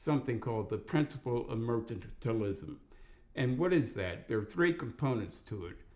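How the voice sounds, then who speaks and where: Somewhat breathy, a man with a medium-pitched voice speaks at a moderate pace with lively intonation. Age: 70s. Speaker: retired lawyer. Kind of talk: interview. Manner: formal.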